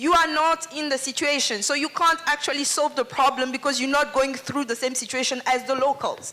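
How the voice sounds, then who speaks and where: Raising and projecting her high-pitched voice, a woman talks at a fairly quick pace over noticeable background noise. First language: French. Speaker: audience member speaking at a festival panel. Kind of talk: public Q&A contribution.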